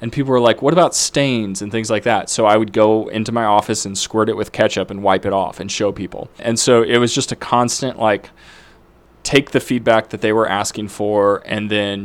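A man speaks in a plain, everyday voice. His fairly low pitch moves at a moderate pace with fairly even intonation. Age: 30s. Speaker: founder of a kids' product company. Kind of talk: interview.

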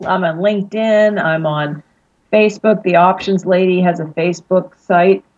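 With an American accent, a woman speaks fairly slowly in an ordinary speaking voice, medium in pitch and fairly even in intonation. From Pittsburgh, Pennsylvania. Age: 40s. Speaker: financial advisor. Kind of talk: interview.

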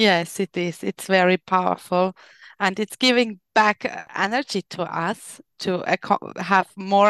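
Fairly slow speech in a German accent with fairly even intonation comes through a very clean recording with a silent background and a dry, close sound with no echo. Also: woman. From Austria. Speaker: life coach. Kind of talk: interview. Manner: halting.

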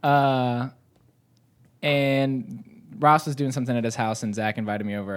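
A man's plain, everyday voice with an American accent, ordinary pitch variation and a fairly slow pace, on a very clean recording with a silent background. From US South, north Georgia. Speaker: coffee roaster. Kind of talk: casual chat.

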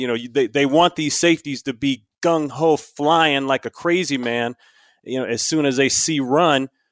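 On a very clean recording with a silent background and a dry, close sound with no echo, a man uses a normal speaking voice, fairly high-pitched with ordinary pitch variation. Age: 50s. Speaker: former NFL player and broadcaster. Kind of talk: casual chat.

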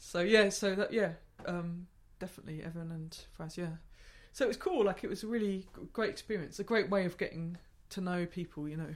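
Speaking in a southeast English accent at a medium pitch, a woman keeps her intonation fairly even while her loudness swings widely and she takes long, frequent pauses. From southeast England, Gravesend, Kent. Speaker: improvising musician and gig organizer. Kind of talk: casual interview. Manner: halting, many fillers and restarts.

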